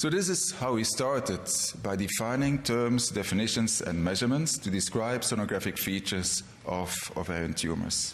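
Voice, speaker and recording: A man with a non-native accent speaks at a moderate pace and very even loudness, with noticeable background noise and audible room echo. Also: medium pitch for a man, lively intonation. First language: not English. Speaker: gynecologist, award lecturer. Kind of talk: award lecture. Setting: convention stage with audience. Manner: formal.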